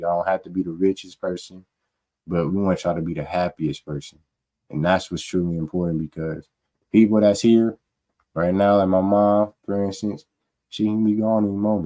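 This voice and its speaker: A man's very deep, low voice in a dark, mellow tone, at a fairly quick pace with fairly even intonation. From Omaha, Nebraska. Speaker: podcast co-host, electrician apprentice. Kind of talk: casual podcast chat. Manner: monotone.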